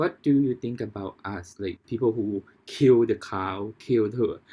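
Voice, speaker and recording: Against a quiet background, a man speaks at medium pitch with a dark, mellow tone. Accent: Thai. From Thailand. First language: Thai. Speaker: podcast host. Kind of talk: casual interview. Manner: halting, many restarts.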